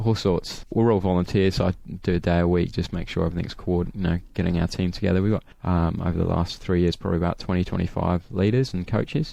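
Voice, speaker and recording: A man's very deep, low voice with a British accent and a dark, mellow tone, at a very fast pace. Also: fairly even intonation. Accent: British accent noticeable. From UK. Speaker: sports ministry coordinator. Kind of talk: radio interview.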